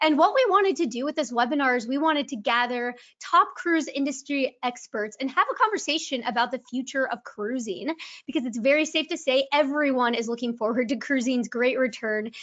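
A woman with a high pitch talks at a fairly quick pace with ordinary pitch variation against a quiet background. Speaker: webinar host. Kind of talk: webinar host introduction. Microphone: video call.

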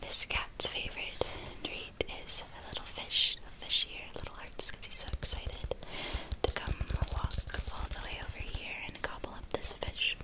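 A woman whispers in a gentle tone. She speaks at a fairly slow pace. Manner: soft-spoken, gentle hushed voice. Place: home room.

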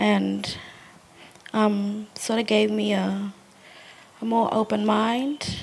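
At a very slow pace, a woman speaks with very even loudness and long, frequent pauses. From Australia. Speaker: artist's great-grandchild; guest. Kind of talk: panel discussion. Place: garden. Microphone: handheld.

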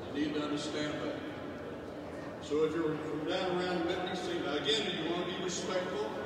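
Over loud background noise and audible room echo, a man talks at a fairly quick pace. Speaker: retired state senator. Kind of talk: rally speech. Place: hall. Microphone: camera far.

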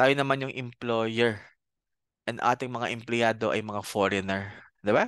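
The voice is monotone with flat intonation at a moderate pace. The background is quiet and the sound is dry with no echo. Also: man. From Bicol, Philippines; Philippines. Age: 30s. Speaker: accounting professor and CPA; accounting professor. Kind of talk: lecture. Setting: video call. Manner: halting, many fillers. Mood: friendly, relaxed. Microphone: headset.

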